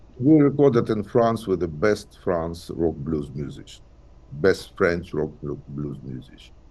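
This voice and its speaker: A man speaks in a very deep, low voice with a dark, mellow tone and vocal fry. His pitch swings very widely and his loudness shifts a lot. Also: fairly slow pace. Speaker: blues singer and physicist. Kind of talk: interview. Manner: halting.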